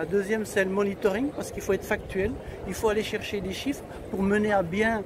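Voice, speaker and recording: A man speaks at a high pitch while noticeable background noise carries on around him. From Belgium, Brussels. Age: 60s. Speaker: activist, community organisation spokesman. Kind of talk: interview. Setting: outdoors on a public square. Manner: hesitant, many filler sounds.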